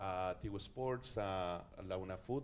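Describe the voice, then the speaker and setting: Light background noise sits behind a voice with ordinary pitch variation. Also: man. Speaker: campaign representative on a panel. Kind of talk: panel discussion answer. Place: studio. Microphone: handheld.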